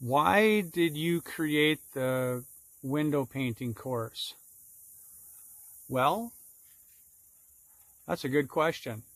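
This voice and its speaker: Very slow and lively in intonation, a man with a fairly high pitch speaks with long, frequent pauses. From Minnesota, Minneapolis. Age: 60s. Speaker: sign and window painter teaching a course. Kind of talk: solo Q&A monologue, promotional. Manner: casual, conversational with fillers.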